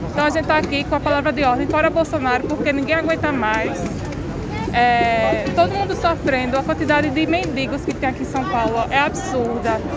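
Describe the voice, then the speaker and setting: Crowd noise fills the background as a woman speaks at a high pitch with very even loudness. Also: ordinary pitch variation, fairly quick pace. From Paraíba, Brazil. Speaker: protester, political activist. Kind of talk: street interview. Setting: outdoors at a street protest.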